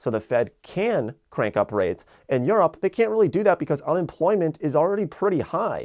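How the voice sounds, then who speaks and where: A man with an American accent talks at a high pitch with very wide pitch swings and hardly any pauses. The background is quiet. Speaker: finance YouTuber. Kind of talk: explainer video monologue. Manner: fast; casual with many fillers.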